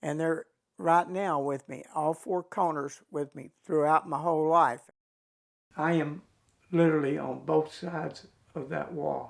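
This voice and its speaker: With a Texan accent, a man talks at a fairly slow pace with long, frequent pauses, a fairly high pitch, fairly even intonation and big swings in loudness. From Texas, Fort Worth. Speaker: war veteran. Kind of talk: testimony.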